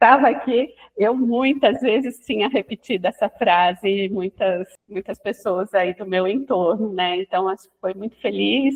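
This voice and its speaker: At a fairly slow pace, a woman speaks with a medium pitch and ordinary pitch variation. Her loudness swings widely. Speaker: psychoanalyst. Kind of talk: casual podcast interview.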